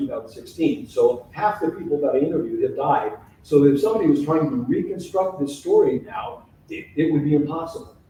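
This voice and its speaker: A man at a fairly quick pace amid audible room echo. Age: 70s. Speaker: author and local historian. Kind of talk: public lecture.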